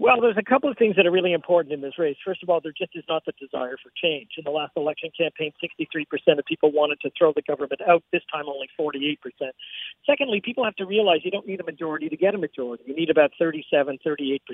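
A man's fairly high voice at a very fast pace, with ordinary pitch variation and big swings in loudness. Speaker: pollster. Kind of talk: interview. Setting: phone call from abroad.

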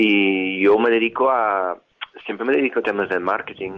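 A man's fairly low-pitched voice with fairly even intonation at a moderate pace. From England, Liverpool. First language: English (speaking Spanish). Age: 50s. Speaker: marketing professional. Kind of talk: interview.

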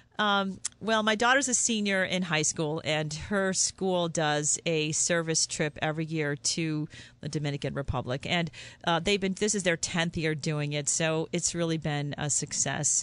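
A woman talks at a moderate pace with a fairly low pitch and ordinary pitch variation. It is a normal speaking voice at very even loudness, with a quiet background. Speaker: ophthalmologist. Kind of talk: radio interview. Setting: studio.

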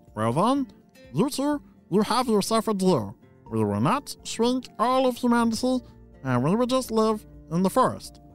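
Over faint music in the background, a man uses a put-on character voice, high-pitched and at a moderate pace. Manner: scheming, then cheerful and agreeable.

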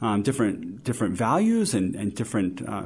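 Over a quiet background, a man with a medium-pitched, somewhat breathy voice speaks at a moderate pace with lively intonation. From developing world (grew up abroad). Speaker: outdoor gear company CEO. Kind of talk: interview.

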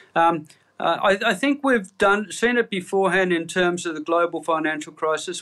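A man with an Australian accent speaks at a fairly quick pace in a high-pitched, bright and sharp voice, recorded very cleanly against a silent background. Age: 60s. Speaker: chief economist. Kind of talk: interview. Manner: halting, many fillers.

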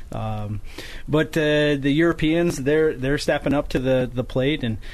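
A man with an unremarkable speaking voice talks at a medium pitch and a moderate pace, keeping his intonation fairly even. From northern New York. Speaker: lumberjack competitor and forester. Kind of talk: radio interview. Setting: radio studio.

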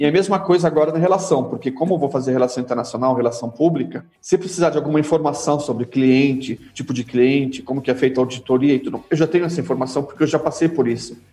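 A man rattles along at a very fast pace with hardly any pauses, in a fairly high pitch with ordinary pitch variation. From Brazil, São Paulo city. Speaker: halal certification manager. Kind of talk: casual interview.

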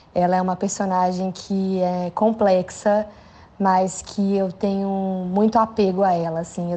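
Her medium-pitched voice as a woman stays monotone, with flat intonation. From Brazil, São Paulo. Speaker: actress. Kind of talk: recorded message for a podcast.

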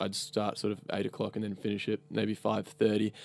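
In an Australian accent, a man with a fairly low pitch talks very fast in a flat, monotone way on a very clean recording with a silent background. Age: 20s. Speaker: e-commerce customer service worker. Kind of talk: casual chat. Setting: studio.

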